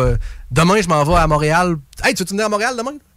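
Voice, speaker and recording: Noticeable background noise sits under a man whose high pitch carries lively intonation. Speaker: singer. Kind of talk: casual chat. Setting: radio studio.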